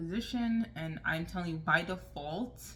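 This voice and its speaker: A woman speaks quietly, with room echo audible. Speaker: lifestyle vlogger. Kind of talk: casual advice vlog.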